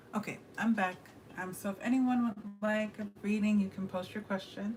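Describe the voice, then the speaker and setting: A woman speaks in a monotone, flat way at a moderate pace, with noticeable background noise behind her. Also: medium pitch for a woman. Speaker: tarot reader. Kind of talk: livestream tarot reading chat. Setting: livestream. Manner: quiet.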